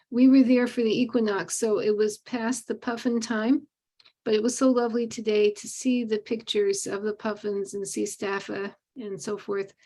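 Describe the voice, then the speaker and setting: A woman speaks at a moderate pace in a fairly high pitch with a dark, mellow tone and fairly even intonation. The recording is very clean, with a silent background. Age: 60s. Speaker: online meditation group participant. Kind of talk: casual sharing in a group call.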